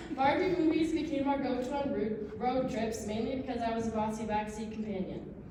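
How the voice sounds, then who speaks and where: A woman with a fairly high pitch and ordinary pitch variation talks at a fairly quick pace with hardly any pauses. Audible room echo and noticeable background noise fill the recording. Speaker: sister of the groom giving wedding speech. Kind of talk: wedding toast. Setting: wedding reception. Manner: fast.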